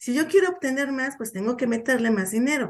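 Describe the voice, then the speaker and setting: A woman speaks high in her range with a Mexican accent. Her pitch varies in an ordinary way against a quiet background. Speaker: radio host, social security advisor. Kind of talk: educational radio talk. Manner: conversational, informal.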